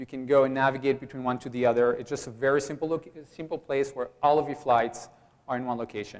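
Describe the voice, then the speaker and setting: Talking at a very fast pace, a man with a medium-pitched voice keeps a monotone, flat intonation. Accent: Belgian. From Belgium. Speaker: startup founder. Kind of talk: pitch presentation.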